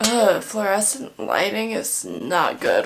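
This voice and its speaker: Quiet and set against music in the background, a woman's voice carries audible room echo. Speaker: lifestyle vlogger. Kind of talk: casual vlog narration. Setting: at home at night, others sleeping. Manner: casual.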